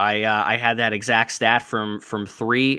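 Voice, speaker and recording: Speaking with a Chicago accent, a man uses a bright, sharp tone and fairly even intonation. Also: very clean recording, silent background. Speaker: sports betting podcast host. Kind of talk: casual chat. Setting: live stream.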